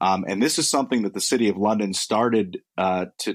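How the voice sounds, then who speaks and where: In a very clean recording with a silent background and a dry, close sound with no echo, a man with an American accent speaks in a fairly low pitch with ordinary pitch variation. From United States. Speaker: crypto company executive. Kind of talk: interview. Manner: halting, many repetitions and fillers.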